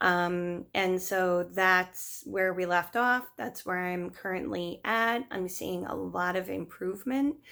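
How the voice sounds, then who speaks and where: This woman speaks at a medium pitch and a very slow pace. She barely pauses at all. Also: ordinary pitch variation. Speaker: video blogger. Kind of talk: personal story vlog. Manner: hesitant, many fillers.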